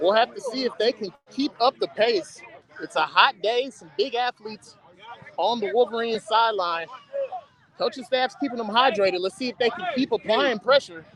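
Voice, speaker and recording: At an extremely high pitch, a man speaks at a moderate pace with big swings in loudness, in a dry, close sound with no echo and noticeable background noise. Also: ordinary pitch variation. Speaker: youth football commentator. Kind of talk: live commentary. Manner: animated.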